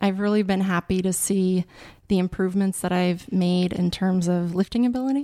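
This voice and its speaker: A woman with an American accent speaks at a moderate pace and medium pitch, her dark, mellow tone held at very even loudness with fairly even intonation in a dry, close sound with no echo. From Montana, US. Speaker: lawyer. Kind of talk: interview.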